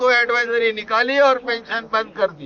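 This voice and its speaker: This man's voice is extremely high in pitch. His intonation is monotone and flat. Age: 70s. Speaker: pensioners' activist. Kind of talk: interview.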